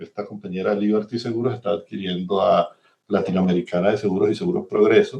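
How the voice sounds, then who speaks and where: A man speaks at a fairly quick pace. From Venezuela. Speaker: systems engineer, insurance executive. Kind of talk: interview. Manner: hesitant with fillers.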